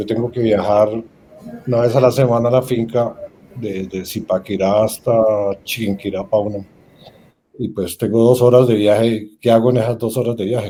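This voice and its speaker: In a dark, mellow tone, a man speaks with monotone, flat intonation and long, frequent pauses. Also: medium pitch for a man, moderate pace. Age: 60s. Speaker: business owner. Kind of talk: panel discussion.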